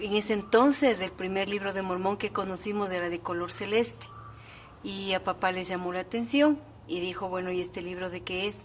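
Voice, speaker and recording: With a plain, everyday voice, a woman talks at a moderate pace in a medium pitch with ordinary pitch variation. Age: 60s. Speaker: church member interviewee. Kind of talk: testimony.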